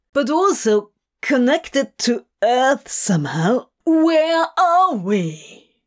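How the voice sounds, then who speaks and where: A female-sounding, high-pitched put-on character voice moves through very wide pitch swings. The pace is very slow. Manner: anxious, frustrated, sour.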